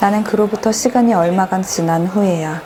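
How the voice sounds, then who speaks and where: With music in the background, a woman speaks at a moderate pace and fairly low pitch, using ordinary pitch variation. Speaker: book reader / narrator. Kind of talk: soothing audiobook reading for relaxation / sleep.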